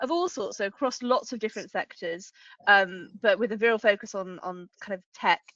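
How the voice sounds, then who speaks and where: With a British accent, a woman talks at a medium pitch and a fairly quick pace. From UK. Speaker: lawyer, regulatory and tech law lead. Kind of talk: webinar panel discussion. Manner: hesitant, many fillers.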